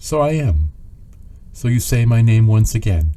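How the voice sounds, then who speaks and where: Drawling at a moderate pace, a man uses a put-on character voice at a medium pitch. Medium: read story. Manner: slow clouded drawl, terse.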